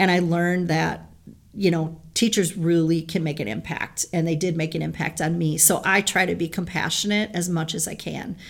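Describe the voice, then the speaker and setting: Vocal fry with fairly even intonation. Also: woman, fairly low pitch for a woman, moderate pace. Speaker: middle school teacher. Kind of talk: interview.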